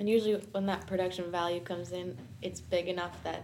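A woman's fairly low voice with vocal fry, at a moderate pace, with audible room echo. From New Hampshire. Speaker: tap dancer. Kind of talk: panel discussion.

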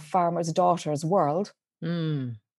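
Delivered at a very slow pace in an Irish accent, the voice has a dark, mellow tone and ordinary pitch variation. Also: woman. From Ireland. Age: 50s. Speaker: spiritual teacher. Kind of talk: interview.

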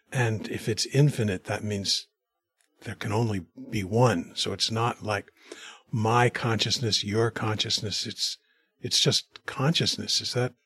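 At a fairly slow pace, a man uses an ordinary speaking voice at medium pitch with fairly even intonation, and the sound is dry and close with no echo. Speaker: podcast co-host. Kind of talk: interview conversation.

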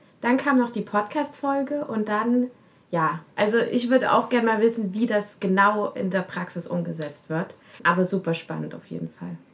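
A woman of medium pitch with lively intonation at a moderate pace, over noticeable background noise. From Germany. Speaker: research assistant and podcast producer. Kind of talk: casual chat.

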